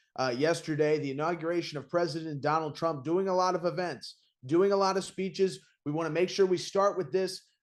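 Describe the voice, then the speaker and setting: The background is quiet. A man with a high voice talks at a fairly quick pace. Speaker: podcast co-host. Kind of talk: political talk show host intro. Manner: casual, enthusiastic.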